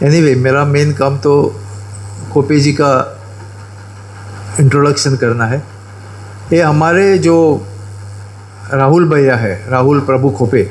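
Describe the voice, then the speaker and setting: Fairly high pitch from a man, with ordinary pitch variation, very even loudness and long, frequent pauses, plus audible room echo and noticeable background noise. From Goa, India. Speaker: event speaker introducing chief guest. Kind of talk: ceremonial speech. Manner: halting, with filler sounds.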